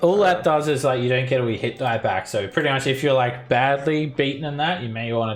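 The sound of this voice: Pitch varying in an ordinary way across an unforced reading voice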